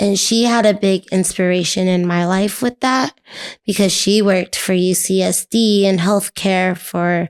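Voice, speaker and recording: In an American accent, a woman speaks at a fairly slow pace with a medium pitch and fairly even intonation. Her loudness stays very even, and the sound is dry and close with no echo. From US West Coast, San Diego. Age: 30s. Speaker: medical assistant and dance teacher. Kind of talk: casual interview.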